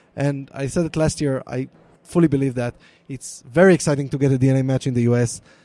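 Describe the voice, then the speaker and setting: The voice has a dark, mellow tone and races at a very fast pace with fairly even intonation, recorded dry and close with no echo. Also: man, fairly high pitch for a man. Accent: Israeli. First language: Hebrew. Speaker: product manager for a DNA company. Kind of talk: live panel interview.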